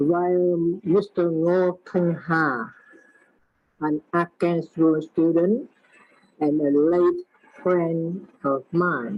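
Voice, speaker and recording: Over music in the background, a speaker with a Vietnamese accent goes at a very slow pace with long, frequent pauses, very even loudness and fairly even intonation. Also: woman, fairly low pitch for a woman. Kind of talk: prepared talk. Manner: halting. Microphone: poor sound quality.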